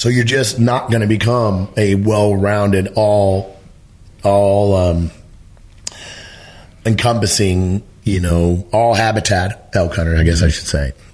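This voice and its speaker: Speaking with an American accent, a man uses a fairly low pitch, a fairly slow pace, very even loudness, and long, frequent pauses. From Missouri. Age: 60s. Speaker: elk hunting educator. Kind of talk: podcast interview. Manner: animated.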